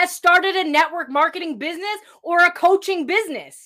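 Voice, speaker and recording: A woman speaks at a moderate pace in an extremely high pitch. Her voice is raised and projected. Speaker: motivational podcast host. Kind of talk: motivational talk. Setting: live stream.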